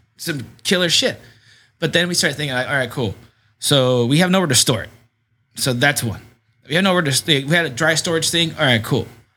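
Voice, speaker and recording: A man with a fairly high pitch and a bright, sharp tone talks at a fairly quick pace, pausing long and often. The recording is very clean, with a silent background. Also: ordinary pitch variation. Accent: American. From San Diego, California (Southcrest/Shelltown). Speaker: bar owner. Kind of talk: casual interview chat.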